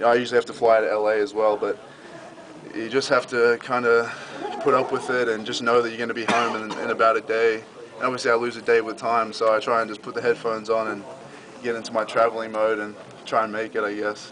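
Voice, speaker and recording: A man with an Australian accent talks at a very fast pace and medium pitch. His intonation is monotone and flat, with noticeable background noise behind him. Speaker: college football player. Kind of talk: interview answer.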